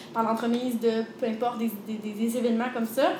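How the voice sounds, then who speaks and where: A woman talks at a very fast pace with a fairly high pitch and monotone, flat intonation. There is audible room echo and noticeable background noise. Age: 20s. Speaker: personal trainer and entrepreneur. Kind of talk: interview.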